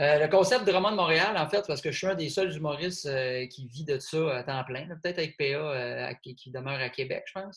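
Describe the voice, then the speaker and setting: This man has an unremarkable speaking voice, fairly high in pitch, with ordinary pitch variation. He talks at a moderate pace, and his loudness swings widely. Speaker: comedian and podcast host. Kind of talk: casual chat. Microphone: poor sound quality.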